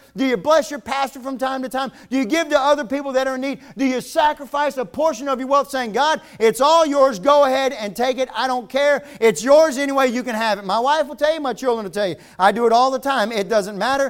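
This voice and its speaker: A man with an extremely high pitch speaks at a fairly quick pace in an animated, intense tone with ordinary pitch variation. The recording is very clean, with a silent background. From Virginia. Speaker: visiting preacher. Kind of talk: fervent revival sermon, building from joking asides to urgent appeals. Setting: church revival with live congregation. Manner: animated, humorous and folksy, builds to intense pleading.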